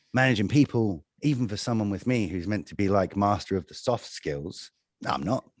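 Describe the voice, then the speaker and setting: A man with a very deep, low pitch talks at a moderate pace with ordinary pitch variation. The sound is dry and close with no echo, in a very clean recording with a silent background. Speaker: managing director of a media company. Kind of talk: interview. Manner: animated; loud.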